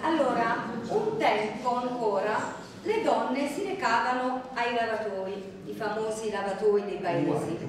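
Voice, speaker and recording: Amid noticeable background noise and strong room echo, a woman speaks at a fairly slow pace with lively intonation. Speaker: poetry reader presenting dialect poems. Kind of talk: introducing a poetry reading to a live audience. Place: hall. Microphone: camera far.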